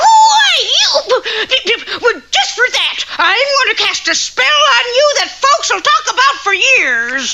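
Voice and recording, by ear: Shouting in a cartoonish character voice at an extremely high pitch, the speaker goes at a fairly slow pace with hardly any pauses.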